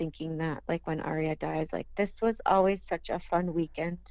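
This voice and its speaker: A woman's fairly low voice with an Upper Midwest accent, at a moderate pace and with fairly even intonation. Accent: Upper Midwest (Minnesota). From southern Minnesota. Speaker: bereaved mother. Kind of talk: testimony.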